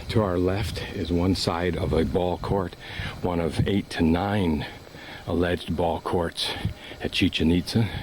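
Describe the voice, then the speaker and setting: Against noticeable background noise, a man with a very deep, low pitch speaks at a fairly slow pace with fairly even intonation. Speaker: travel vlogger. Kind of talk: self-guided tour narration. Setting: outdoors.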